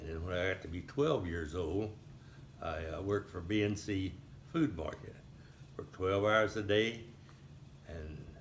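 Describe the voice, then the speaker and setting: Through audible room echo and noticeable background noise, a man with a fairly low pitch speaks at a moderate pace with lively intonation. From Texas, Highlands near Houston. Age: 80s+. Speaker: elderly local resident recounting town history. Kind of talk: oral history interview. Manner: halting, with frequent fillers.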